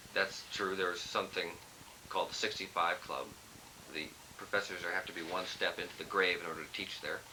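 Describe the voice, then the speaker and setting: A man speaks with a US West Coast accent. He leaves long, frequent pauses. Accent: US West Coast American. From Southern California, Los Angeles. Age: 20s. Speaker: lawyer. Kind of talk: casual interview. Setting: family reunion, on video camera. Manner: humorous, deadpan.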